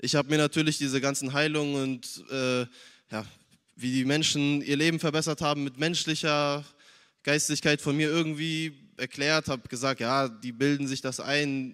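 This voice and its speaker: A man speaks in a flat monotone at a fairly high pitch, on a very clean recording with a silent background. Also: moderate pace. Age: young. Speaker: church youth member. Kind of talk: testimony.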